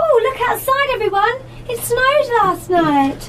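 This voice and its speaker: Using a squeaky put-on character voice, a woman speaks at an extremely high pitch and a moderate pace over clear background noise. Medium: audio drama.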